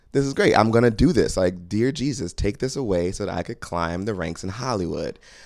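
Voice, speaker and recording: Fairly quick and with hardly any pauses, a man delivers lively intonation in a plain, everyday voice at a fairly low pitch, captured in a very clean recording with a silent background. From US South, moved around (military family). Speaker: comedian and performer. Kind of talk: casual interview chat.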